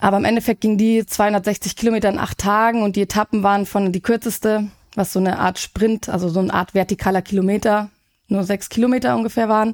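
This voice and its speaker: A woman at medium pitch, very fast, with very even loudness and fairly even intonation, on a very clean recording with a silent background. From Germany, Munich. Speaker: sports nutritionist. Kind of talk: casual interview.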